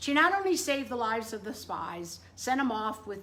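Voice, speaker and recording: A loud woman talks at a fairly quick pace. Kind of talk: casual devotional talk to camera. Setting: indoors in front room. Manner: animated.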